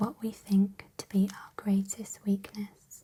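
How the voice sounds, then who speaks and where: Soft-spoken and calm in tone, the voice moves at a very slow pace. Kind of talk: reading book quotes, ASMR affirmations. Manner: soft-spoken, calm.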